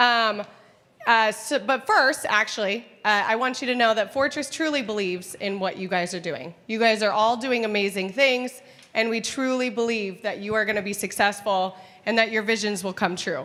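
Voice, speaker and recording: Loud and animated, a woman talks at a moderate pace with a fairly high pitch, a bright, sharp tone and ordinary pitch variation. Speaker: event host. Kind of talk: live event hosting. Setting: stage with audience.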